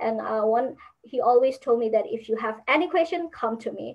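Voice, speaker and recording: A woman with a Burmese accent, fairly high in pitch, at a moderate pace with ordinary pitch variation. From Burma. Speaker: university student. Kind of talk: interview. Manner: halting.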